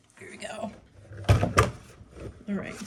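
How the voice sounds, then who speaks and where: Noticeable background noise accompanies a woman speaking with a Pittsburgh accent. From Pittsburgh, US. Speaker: crafter. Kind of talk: tutorial. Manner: hesitant, many fillers.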